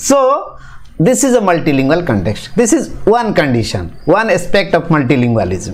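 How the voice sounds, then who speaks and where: A man speaks with an Indian accent and very wide pitch swings. Audible room echo and noticeable background noise surround him. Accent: Indian English (Odia). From Odisha, India. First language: Odia. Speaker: teacher educator. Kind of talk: lecture. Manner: halting, with frequent fillers.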